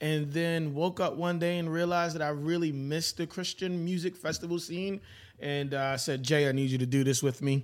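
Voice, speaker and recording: A man with a New York accent talks at a fairly quick pace, his fairly high voice keeping a fairly even intonation. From Brooklyn, New York. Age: 40s. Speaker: preacher. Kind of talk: casual chat.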